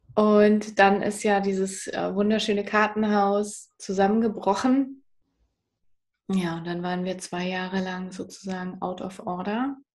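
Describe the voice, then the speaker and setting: A woman with an unremarkable speaking voice talks at a fairly slow pace and medium pitch, her intonation fairly even. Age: 30s. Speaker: psychotherapy practitioner and author. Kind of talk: interview, personal story.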